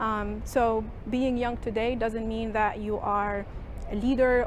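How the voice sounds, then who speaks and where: A woman's fairly high voice, flat and monotone, with audible room echo. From Tunisia. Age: 30s. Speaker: activist. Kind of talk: interview monologue.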